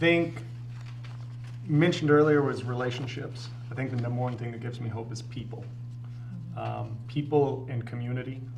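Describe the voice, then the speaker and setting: A man with an American accent speaks at a medium pitch in a flat monotone. His loudness swings widely, and there is noticeable background noise. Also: moderate pace. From northern US. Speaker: professor and advocacy volunteer; guest. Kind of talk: casual interview. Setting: studio. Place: studio.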